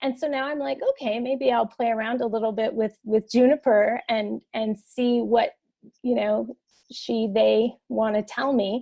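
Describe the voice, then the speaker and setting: With a plain, everyday voice, a woman speaks at a fairly high pitch and a fairly slow pace with ordinary pitch variation. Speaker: podcast host. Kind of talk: casual interview conversation.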